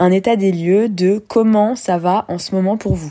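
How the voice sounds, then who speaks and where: A woman's medium-pitched voice, dark and mellow in tone, with ordinary pitch variation and a very slow pace. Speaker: podcast host. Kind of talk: solo podcast monologue. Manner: animated.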